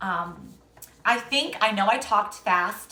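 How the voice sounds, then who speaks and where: Ordinary pitch variation marks this woman's speech. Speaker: naturopathic health practitioner. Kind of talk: live-stream Q&A talk. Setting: Instagram live stream. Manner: fast.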